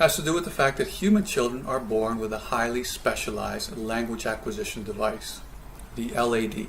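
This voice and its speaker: At a moderate pace, a man speaks with audible room echo around his words. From Canada. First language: Spanish. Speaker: professor. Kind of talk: lecture. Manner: hesitant, many fillers.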